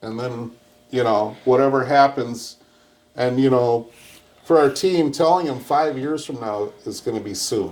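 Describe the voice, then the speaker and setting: In an American accent, a man with an unremarkable speaking voice talks at a fairly slow pace and medium pitch, with ordinary pitch variation and big swings in loudness. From Minnesota, St. Paul. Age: 60s. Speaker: restaurant owner. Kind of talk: casual chat.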